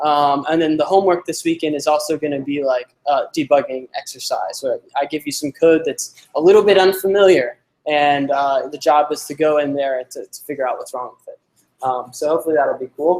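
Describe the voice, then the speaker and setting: Big swings in loudness mark this man's speech, which has a fairly high pitch, a fairly quick pace, fairly even intonation, and a dry, close sound with no echo. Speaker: coding instructor. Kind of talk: lecture.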